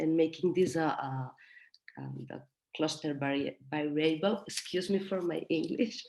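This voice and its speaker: In a Spanish accent, a woman speaks at a moderate pace with a dark, mellow tone, vocal fry and ordinary pitch variation. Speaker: mentoring practitioner. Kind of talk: workshop discussion. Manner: halting.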